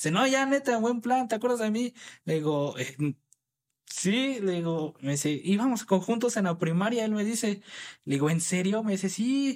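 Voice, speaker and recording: Lively intonation and high pitch mark this man's moderate-paced speech in a very clean recording with a silent background. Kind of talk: casual interview.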